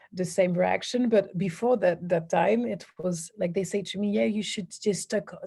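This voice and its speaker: A woman speaks in a French accent at a medium pitch, somewhat breathy. Her tone is dark and mellow, and her pace is fairly slow. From southern France. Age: 30s. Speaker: women's empowerment coach. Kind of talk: interview. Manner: halting, many fillers and restarts.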